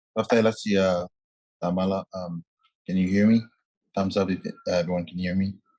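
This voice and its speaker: With a Tuvaluan accent, a man talks at a fairly quick pace but with long, frequent pauses, his very deep, low, dark, mellow voice in monotone, flat intonation and a dry, close sound with no echo. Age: 20s. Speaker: youth climate activist. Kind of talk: panel statement. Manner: halting, repeats words.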